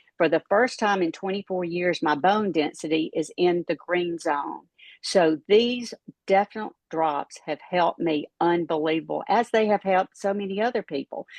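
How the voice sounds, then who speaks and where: This woman has a plain, everyday voice, pitched fairly low, with ordinary pitch variation at a moderate pace. The sound is dry and close, with no echo. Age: 60s. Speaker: retired pharmacist, product promoter. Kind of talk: testimony and sales pitch.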